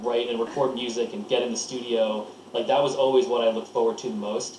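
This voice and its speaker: A man with a medium pitch and ordinary pitch variation talks very fast while noticeable background noise plays. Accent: American. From US Northeast, Lancaster, Pennsylvania. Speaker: record producer. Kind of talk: casual interview. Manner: halting, many false starts.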